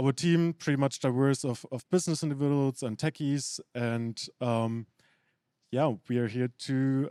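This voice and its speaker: A man with a German accent speaks in a dark, mellow tone with ordinary pitch variation, the sound dry and close with no echo on a very clean recording with a silent background. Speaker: startup founder. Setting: stage with audience.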